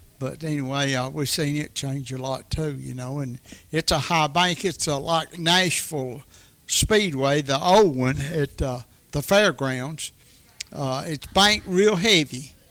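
Here a man with a Tennessee accent speaks at a fairly slow pace, his fairly high pitch showing ordinary variation. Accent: Southern US (Tennessee). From Middle Tennessee, US South. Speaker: retired racing enthusiast. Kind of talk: casual chat.

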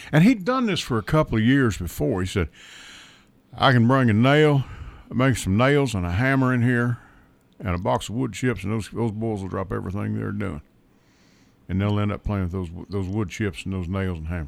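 A man with a Southern US accent speaks at a moderate pace and fairly low pitch, his intonation lively and his long, frequent pauses set against a very clean, silent background. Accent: US South (Tennessee). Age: 60s. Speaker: radio talk show host. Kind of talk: casual talk radio chat. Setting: radio studio.

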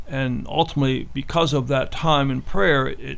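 Audible room echo hangs around the voice. A man is speaking at a moderate pace. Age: 60s. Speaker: martial arts instructor. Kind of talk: radio interview.

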